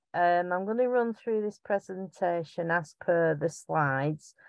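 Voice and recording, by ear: Heard in dry, close sound with no echo, a woman with a strong Lancashire accent speaks at a fairly slow pace in a fairly low pitch with a clear, smooth tone. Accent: strong Bolton, Lancashire.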